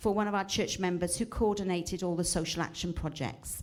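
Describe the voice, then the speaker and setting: A woman's voice with vocal fry. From South Wales, Cardiff. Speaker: retired teacher, charity speaker. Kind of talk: church talk.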